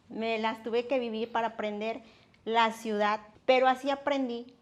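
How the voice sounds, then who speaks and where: Her pitch fairly high and her intonation fairly even, a woman talks at a moderate pace. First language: Nahuatl (speaking Spanish). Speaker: interpreter and institute worker. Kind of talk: interview.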